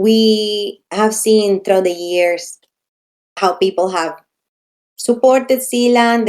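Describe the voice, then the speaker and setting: A woman's medium-pitched voice, fairly even in intonation, at a very slow pace. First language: not English. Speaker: community program organizer. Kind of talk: live online Q&A.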